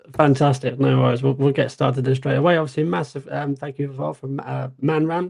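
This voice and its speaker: Talking at a very fast pace, a man uses a somewhat breathy voice at a medium pitch. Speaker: stock market show co-host. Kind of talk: livestream market analysis. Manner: casual, filler-heavy.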